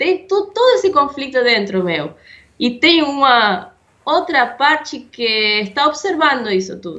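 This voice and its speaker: A woman's raised, projected voice, bright and sharp, with very wide pitch swings, a non-native accent and a very slow pace. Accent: foreign accent in Portuguese. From Argentina. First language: Spanish (speaking Portuguese). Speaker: podcast co-host. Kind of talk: casual conversation. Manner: hesitant.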